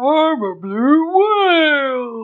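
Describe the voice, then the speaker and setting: This is a put-on character voice pitched high. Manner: silly, comedic.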